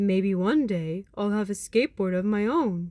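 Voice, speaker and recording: This female-sounding, put-on character voice sits at medium pitch for a woman and keeps a moderate pace. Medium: read story. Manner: friendly, easygoing.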